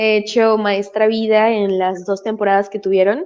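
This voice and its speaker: A woman's fairly high-pitched voice proceeds at a fairly slow rate. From Venezuela. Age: 20s. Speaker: musical theatre performer and voice teacher. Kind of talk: interview.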